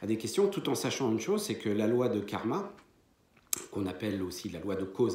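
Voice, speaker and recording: A man with a medium pitch and lively intonation talks while noticeable background noise and audible room echo fill the recording. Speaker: medium and spiritual teacher. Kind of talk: lecture. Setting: conference hall with audience. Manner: hesitant, many fillers.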